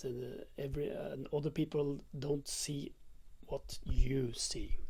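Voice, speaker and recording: A very slow pace with a non-native accent. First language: not English. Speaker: conspiracy-minded spiritual vlogger. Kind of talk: casual monologue. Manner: halting, many fillers.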